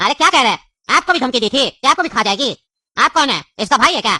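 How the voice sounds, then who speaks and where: In a cartoonish character voice, a high-pitched, female-sounding speaker rattles along at a very fast pace. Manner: rambling, jokey.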